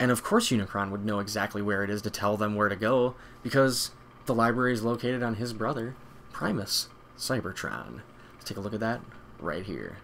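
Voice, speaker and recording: Over light background noise, a man with an ordinary speaking voice and a fairly low pitch talks at a fairly quick pace with fairly even intonation. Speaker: video host. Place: home room.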